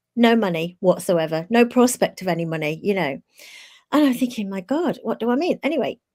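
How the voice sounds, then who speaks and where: With a British accent and a medium pitch, a woman talks at a fairly quick pace, her pitch swinging very widely, in a very clean recording with a silent background. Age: 60s. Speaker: live show co-host. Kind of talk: casual chat, personal storytelling.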